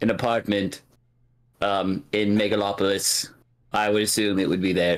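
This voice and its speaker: Someone speaks in a put-on character voice at a moderate pace with monotone, flat intonation. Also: man, fairly low pitch for a man. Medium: actual play. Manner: cryptic, paradoxical.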